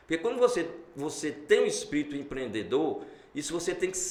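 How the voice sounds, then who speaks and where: A man's animated tone over noticeable background noise. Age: 60s. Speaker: entrepreneur. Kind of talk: interview.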